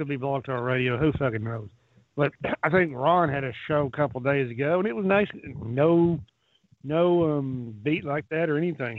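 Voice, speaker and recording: At a moderate pace, a man speaks with lively intonation and a fairly high pitch. He has a plain, everyday voice. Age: 50s. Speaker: round table caller. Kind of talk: casual chat.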